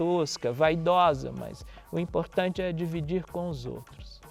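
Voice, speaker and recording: Over music in the background, a man with a fairly high-pitched voice speaks at a very slow pace. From Brazil, southern Minas Gerais. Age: 60s. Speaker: musician and researcher. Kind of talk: interview monologue.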